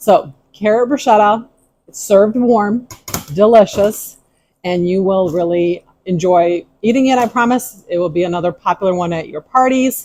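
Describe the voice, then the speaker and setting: Her voice has a dark, mellow tone, a medium pitch for a woman and ordinary pitch variation. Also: moderate pace. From Ukraine. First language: Ukrainian. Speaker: tea room owner, cooking video host. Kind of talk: cooking tutorial. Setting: kitchen.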